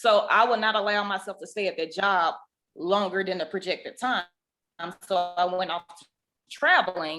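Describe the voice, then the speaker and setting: A woman with a strong Southern US accent speaks at a moderate pace in a bright, sharp tone, with fairly even intonation and big swings in loudness. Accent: deep Southern. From US South. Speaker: podcast co-host, ICU nurse. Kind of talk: casual chat.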